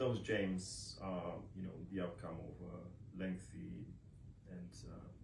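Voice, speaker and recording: A man with a Romanian accent speaks in a very deep, low voice at a very slow pace. His intonation is lively, and the room echo is audible. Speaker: author and scholar. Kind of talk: book launch speech. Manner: halting, many fillers.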